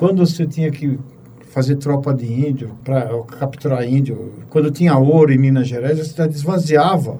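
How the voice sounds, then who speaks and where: In an ordinary speaking voice, a man speaks at a moderate pace. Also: fairly high pitch for a man, fairly even intonation. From Brazil, São Paulo. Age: 60s. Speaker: physician, pathologist. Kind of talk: casual interview conversation.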